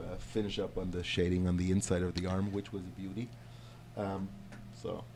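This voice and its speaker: This man's voice is very deep and low, with a dark, mellow tone. He moves at a fairly quick pace with ordinary pitch variation. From Germany. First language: German. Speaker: tattoo client, medical professional. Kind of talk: casual chat.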